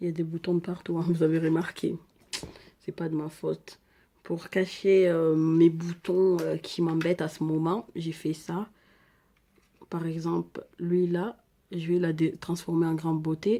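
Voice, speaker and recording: A woman with an African accent, her pitch fairly low and her tone dark and mellow, flat and monotone at a fairly slow pace, with long, frequent pauses. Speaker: beauty vlogger. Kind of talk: makeup tutorial. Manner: casual, chatty.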